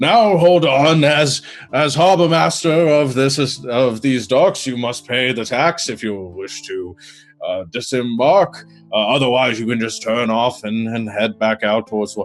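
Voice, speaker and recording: A loud, booming put-on character voice moves at a fairly slow pace over faint background music. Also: man, medium pitch for a man. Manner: commanding, officious.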